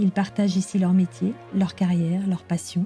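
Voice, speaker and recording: At a moderate pace and with ordinary pitch variation, the voice carries over background music. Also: woman. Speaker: podcast host. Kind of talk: podcast intro read.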